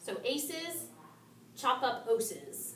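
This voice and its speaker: With lively intonation, a woman speaks at a very slow pace, with audible room echo and noticeable background noise. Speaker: nutrition class teacher. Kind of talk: lecture.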